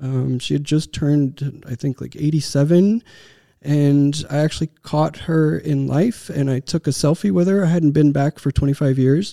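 A man speaks in a Texan accent at a moderate pace, his dark, mellow voice fairly high with ordinary pitch variation, on a very clean recording with a silent background and a dry, close sound with no echo. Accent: American, Texan. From Texas. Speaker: tech startup founder and CEO. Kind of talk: interview. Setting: studio.

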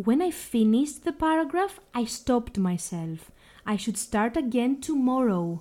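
With a Greek accent, a woman speaks at a high pitch in a dark, mellow tone, slowly and with lively intonation, on a very clean recording with a silent background. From Greece. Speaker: language teacher. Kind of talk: podcast monologue.

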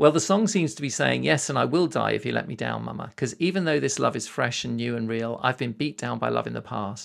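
This man speaks with a British accent. His pace is fairly quick. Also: very clean recording, silent background. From Britain. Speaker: podcast host. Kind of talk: casual interview.

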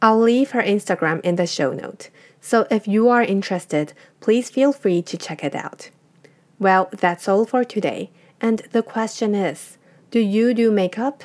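Fairly high-pitched woman's voice with a Chinese accent, fairly slow, with ordinary pitch variation. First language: Mandarin Chinese. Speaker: podcast host. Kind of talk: scripted narration.

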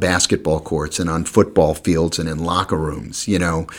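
A moderate pace with an American accent. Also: man. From New York. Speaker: sportscaster. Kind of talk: interview.

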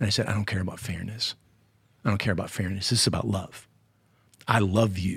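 A somewhat breathy man's voice, fairly low in pitch, fairly quick, with fairly even intonation and long, frequent pauses. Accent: American. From Connecticut. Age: 50s. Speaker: youth minister. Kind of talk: interview.

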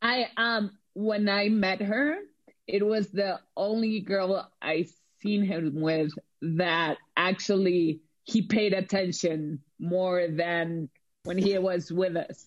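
A woman's medium-pitched voice at a very slow pace, with ordinary pitch variation and very even loudness. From Mexico. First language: Spanish. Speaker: film and TV producer. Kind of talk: casual chat.

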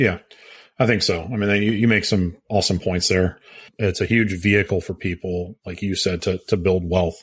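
In a very clean recording with a silent background, a man with an American accent speaks at a moderate pace, his very deep, low voice holding a fairly even intonation. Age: 40s. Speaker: podcast co-host, real estate agent and investor. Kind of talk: casual chat.

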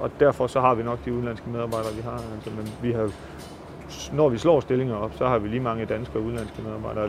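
Amid noticeable background noise, a man of medium pitch talks at a very fast pace with ordinary pitch variation. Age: 30s. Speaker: pig farmer. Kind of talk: interview. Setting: on-site at a pig farm. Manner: halting.

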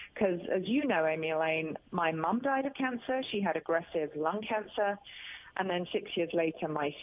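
A woman's medium-pitched voice in a British accent, with lively intonation and a moderate pace. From England. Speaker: author and speaker, cancer survivor. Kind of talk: radio interview. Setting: phone call.

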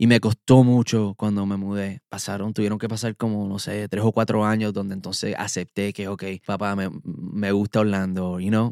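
At a moderate pace and with hardly any pauses, a man speaks in a monotone, flat intonation, the sound dry and close with no echo in a very clean recording with a silent background. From Puerto Rico (Bayamón), moved to US at nine. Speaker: vocal producer and singer. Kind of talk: interview. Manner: halting, repeats words.

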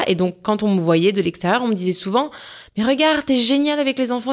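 The woman's delivery is very fast. She uses lively intonation. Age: 30s. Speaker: wellness podcast host. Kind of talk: solo personal reflection podcast. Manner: conversational.

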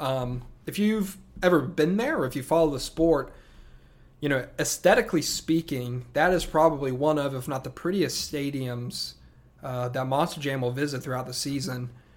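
A man with a Southern US accent talks at a moderate pace and fairly high pitch, with ordinary pitch variation. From upstate South Carolina. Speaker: podcast host, monster truck fan. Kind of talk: solo podcast monologue. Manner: casual, many filler words.

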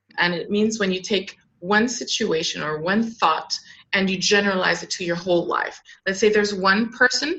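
A woman with an American accent uses a normal speaking voice at medium pitch, with ordinary pitch variation and a moderate pace. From Southern California, later Luxembourg, France and Germany. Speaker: clinical psychologist and startup founder. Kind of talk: interview.

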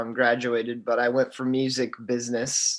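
Here a man talks at a medium pitch. His intonation is monotone and flat. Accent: American. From southern Indiana (Boonville, near Evansville). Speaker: recent college graduate and church bass player. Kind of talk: interview testimony. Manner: casual, hesitant with many fillers.

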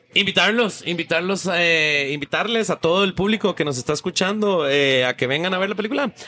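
Over noticeable background noise, a man with a high pitch talks at a fairly quick pace with lively intonation and hardly any pauses, the sound dry and close with no echo. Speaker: film director. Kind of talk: interview. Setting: café.

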